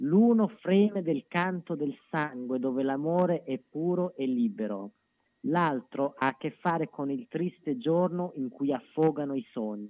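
The pace is fairly slow. Pitch swings are very wide. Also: man, fairly high pitch for a man. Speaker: commentator and poetry reader. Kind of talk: reading aloud. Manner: lively.

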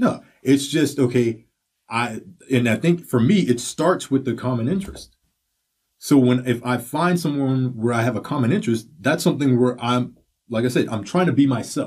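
A man speaks at a moderate pace in a somewhat breathy, medium-pitched voice with ordinary pitch variation. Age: 40s. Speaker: podcast host. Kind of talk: casual chat.

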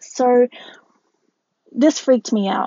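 A woman speaks with an Australian accent. Her pitch is high. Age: 20s. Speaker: podcast host and model. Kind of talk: personal monologue.

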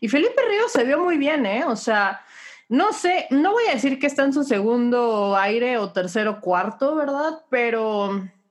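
Against a quiet background, a woman speaks at a high pitch with lively intonation. Her pace is fairly slow. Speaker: NFL podcast host. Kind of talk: casual sports chat. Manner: animated.

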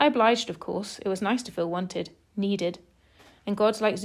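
What the recording holds is plain reading aloud.

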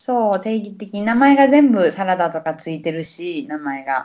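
A woman with a Kansai accent talks at a fairly slow pace, her pitch swinging very widely. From Osaka, Japan. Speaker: Japanese language teacher. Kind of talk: casual chat. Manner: animated.

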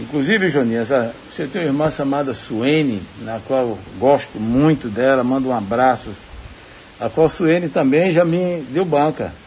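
Through noticeable background noise, a man talks at a fairly slow pace with medium pitch and lively intonation. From Bahia, Brazil (Jacobina). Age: 60s. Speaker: civil engineer and businessman. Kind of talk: recorded interview testimony. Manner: halting.

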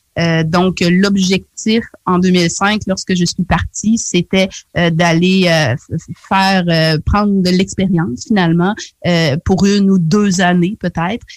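In a Quebec accent, a woman talks at a very slow pace with medium pitch, fairly even intonation, very even loudness and long, frequent pauses, the sound dry and close with no echo. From Quebec (Charlevoix, Quebec City), Haitian heritage. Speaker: community radio journalist. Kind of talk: radio interview.

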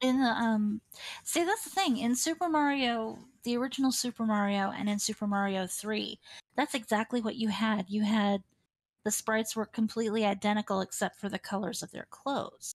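A somewhat breathy woman with a fairly high pitch and ordinary pitch variation, recorded with a dry, close sound and no echo. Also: fairly quick pace. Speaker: streamer. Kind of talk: casual interview chat.

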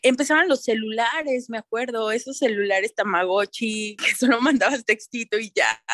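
Moderately paced speech from a woman, fairly high in pitch, with ordinary pitch variation. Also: hardly any pauses, dry, close sound with no echo. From Mexico, Toluca. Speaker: sustainability consultant, fashion designer. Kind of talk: interview, casual chat.

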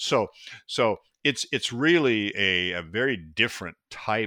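A man with an American accent and a fairly low pitch, a bright, sharp tone, lively intonation and a very slow pace, on a very clean, dry, close recording with no echo and a silent background. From US Pacific Northwest. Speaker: mushroom expert and company founder. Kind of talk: interview.

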